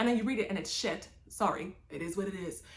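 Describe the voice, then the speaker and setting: The speaker talks at a very fast pace, sounding somewhat breathy. Pitch varies in an ordinary way. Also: woman. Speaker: booktuber. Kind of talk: casual vlog chat. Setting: home library on camera. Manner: animated.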